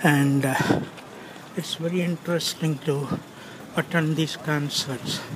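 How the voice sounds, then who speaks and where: With noticeable background noise behind him, a man speaks at a fairly slow pace and a fairly high pitch, in a monotone, flat delivery with long, frequent pauses. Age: 70s. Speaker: amateur video blogger. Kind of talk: walking tour narration. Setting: outdoors on city streets. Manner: casual.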